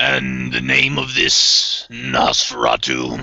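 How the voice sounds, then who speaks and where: In a put-on character voice, a man speaks raspy and very deep at a very slow pace. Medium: actual play. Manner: terse, grunting, suspicious.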